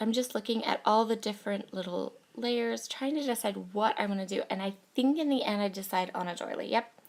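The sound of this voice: A croaky woman's voice, medium in pitch, at a fairly quick pace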